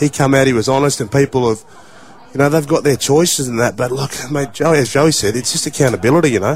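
Speaking very fast with an Australian accent, a man uses a fairly high pitch and ordinary pitch variation amid noticeable background noise. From Australia, regional New South Wales. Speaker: former rugby league player, radio pundit. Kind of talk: radio discussion, personal testimony.

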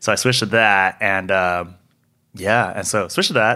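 On a very clean recording with a silent background, a voice with a Californian accent comes through in a bright, sharp tone. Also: man. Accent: Californian American. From Southern California, San Gabriel Valley. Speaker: fashion photographer. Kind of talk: interview. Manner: casual, filler-heavy.

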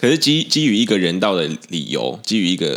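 Speaking at a fairly quick pace, a man uses a Taiwanese accent with vocal fry. The recording is very clean, with a silent background. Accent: Taiwanese Mandarin. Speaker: podcast co-host. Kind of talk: casual chat. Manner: halting.

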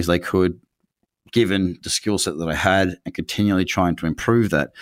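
In a very clean recording with a silent background and a dry, close sound with no echo, a man speaks with an Australian accent. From Queensland, Australia (Noosa Heads). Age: 30s. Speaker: trader and trading educator. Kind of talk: interview conversation. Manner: talkative.

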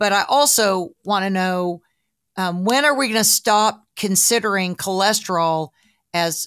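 In a Southern US accent, a woman speaks at a medium pitch and a fairly slow pace with ordinary pitch variation. The very clean recording has a silent background and a dry, close sound with no echo. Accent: US South. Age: 60s. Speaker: podcast host, broadcaster and health coach. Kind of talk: casual interview chat.

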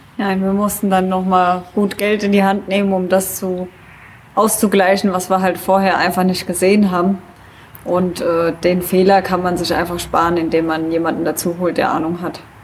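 Against noticeable background noise, a woman speaks in a flat monotone. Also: medium pitch for a woman, moderate pace. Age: 30s. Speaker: traveler and climber. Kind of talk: casual interview. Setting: event at a museum summer festival.

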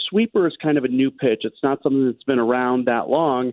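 With a plain, everyday voice, a man talks at a fairly quick pace, his pitch fairly high and ordinary in its variation. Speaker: sports radio host. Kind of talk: casual chat. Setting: phone call.

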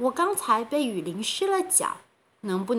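In a natural voice, a passage is read aloud.

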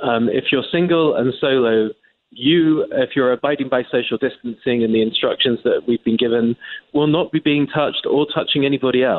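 With an English accent, a man speaks at a moderate pace in a medium pitch, keeping his loudness very even and his intonation fairly even. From England. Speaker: journalist. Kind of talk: interview.

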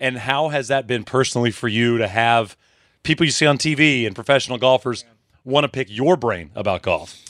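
A normal speaking voice moves at a fairly quick pace. The recording is very clean, with a silent background and a dry, close sound with no echo. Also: man, medium pitch for a man, ordinary pitch variation. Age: 30s. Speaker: podcast host. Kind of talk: casual chat.

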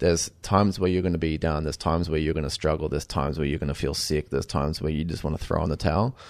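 With an Australian accent, the speaker goes at a very fast pace with fairly even intonation over a quiet background. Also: man, very deep, low pitch for a man. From Queensland, Australia. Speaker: chef and restaurant owner. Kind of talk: interview. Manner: halting with frequent repetitions.

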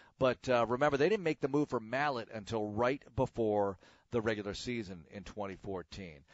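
A man's medium-pitched, ordinary pitch variation, a plain, everyday voice. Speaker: sports radio host. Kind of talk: casual solo podcast monologue. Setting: home, alone.

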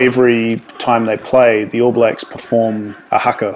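A man's medium-pitched voice with a New Zealand accent, plus noticeable background noise. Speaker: rugby writer. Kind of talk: storytelling interview. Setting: remote call.

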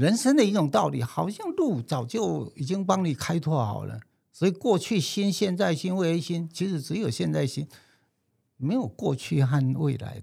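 With a high pitch and very wide pitch swings, a man talks at a moderate pace in a dark, mellow tone. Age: 70s. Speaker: screenwriter and film describer. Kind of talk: interview.

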